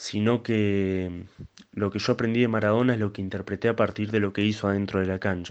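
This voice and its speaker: Fairly low in pitch, a man talks fairly quickly in a flat, monotone way. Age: 20s. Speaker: young football fan. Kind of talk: recorded testimony.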